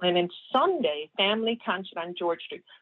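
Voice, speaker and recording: Speaking with a Newfoundland accent, a woman keeps a medium pitch with ordinary pitch variation. Her pace is moderate. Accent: Newfoundland English, noticeable. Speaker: community reporter. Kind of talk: casual radio chat, event listings.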